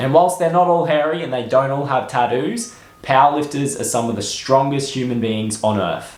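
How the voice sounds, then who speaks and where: A man with an Australian accent speaks at a fairly high pitch with lively intonation over noticeable background noise. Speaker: personal trainer and sports nutritionist. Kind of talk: educational fitness talk to camera.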